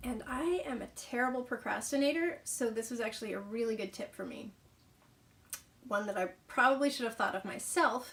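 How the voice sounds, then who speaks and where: Her pitch sits high. The woman speaks at a fairly quick pace. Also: ordinary pitch variation. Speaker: author and vlogger. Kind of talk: casual vlog talk. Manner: hesitant, says um a lot.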